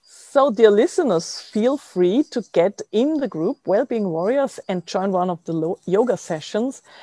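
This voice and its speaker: A woman with a German accent speaks at a fairly slow pace, with hardly any pauses, in a dark, mellow tone. Her intonation is lively, and the sound is dry and close with no echo. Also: medium pitch for a woman. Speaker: podcast host. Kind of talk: interview.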